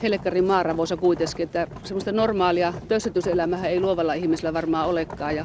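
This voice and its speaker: The speech runs at a very fast pace with hardly any pauses. Noticeable background noise is present. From Liminka, Northern Ostrobothnia, Finland. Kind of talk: casual talk to camera.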